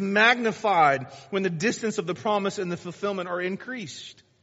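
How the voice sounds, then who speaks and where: Speaking at a fairly quick pace, a man with a high pitch shows ordinary pitch variation. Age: 40s. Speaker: pastor. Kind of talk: sermon.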